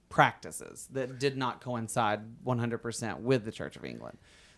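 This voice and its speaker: In a Southern US accent, a man speaks at a moderate pace and medium pitch on a very clean recording with a silent background. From Alabama. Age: 30s. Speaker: podcast host. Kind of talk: casual chat.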